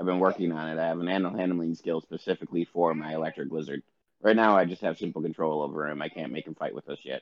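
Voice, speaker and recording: A man with a very deep, low pitch speaks at a very fast pace with fairly even intonation. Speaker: tabletop game player. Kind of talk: casual banter in a game session.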